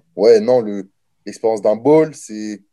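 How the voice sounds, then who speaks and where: The man's tone is dark and mellow. He takes a fairly slow pace. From France, Nancy and Orléans. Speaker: college football player. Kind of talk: interview. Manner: casual.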